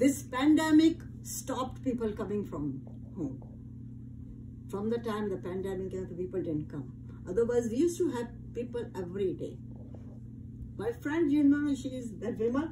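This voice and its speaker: At a moderate pace with long, frequent pauses, the voice shows very wide pitch swings against audible room echo. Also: woman, medium pitch for a woman. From India. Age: 80s+. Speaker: interviewee. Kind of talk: casual chat.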